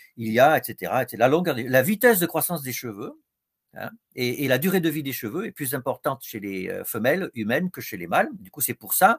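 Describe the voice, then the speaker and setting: A man talks at a fairly quick pace with very wide pitch swings and big swings in loudness. The recording is very clean, with a silent background and a dry, close sound with no echo. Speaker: professor and psychiatrist. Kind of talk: lecture. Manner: hesitant, many fillers.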